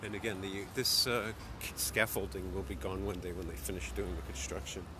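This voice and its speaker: Speaking fairly quickly with an American accent, a man with a very deep, low pitch uses lively intonation amid noticeable background noise and audible room echo. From New York City, the Bronx. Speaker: office worker vlogging his commute. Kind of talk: casual live-stream walking commentary. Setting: outdoors walking in city streets. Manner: casual, halting with fillers.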